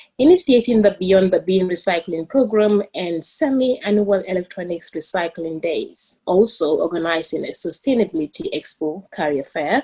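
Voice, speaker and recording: A woman speaks with a Gambian accent, medium in pitch and dark, mellow in tone, somewhat breathy. Her intonation is lively and she hardly pauses. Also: moderate pace. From the Gambia. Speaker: student moderator. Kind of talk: formal introduction. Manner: halting.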